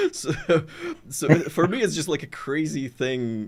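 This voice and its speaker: A man with a non-native accent speaks with vocal fry. His pace is fairly slow. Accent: non-native accent, lighter than before. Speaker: gaming content creator and show host. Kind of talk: casual chat. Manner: halting, many restarts and fillers. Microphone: good studio equipment, foam behind.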